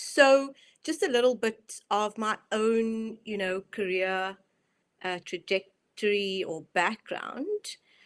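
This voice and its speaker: A woman with a South African accent speaks at a very slow pace, her fairly high pitch moving with ordinary variation. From South Africa, Cape Town. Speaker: mindset and performance coach. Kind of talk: online presentation.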